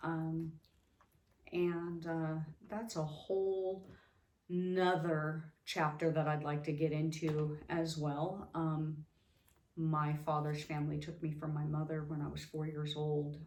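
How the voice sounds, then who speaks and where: A woman with a very deep, low voice speaks very slowly and in a monotone, flat way, with audible room echo. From Las Vegas, US West. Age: 50s. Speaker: vlogger, abuse survivor. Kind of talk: personal testimony. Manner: halting, many fillers.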